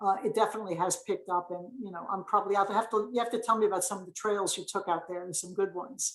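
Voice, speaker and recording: A woman with an American accent at a very fast pace, medium in pitch and fairly even in intonation, hardly any pauses, big swings in loudness. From Brooklyn, New York. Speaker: local councilperson and nurse. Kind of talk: casual interview.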